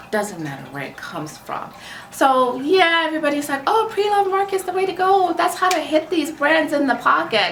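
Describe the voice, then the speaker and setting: Fairly quick and animated, a woman speaks at an extremely high pitch with lively intonation, amid audible room echo and noticeable background noise. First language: not English. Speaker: luxury fashion vlogger. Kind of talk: casual commentary to camera.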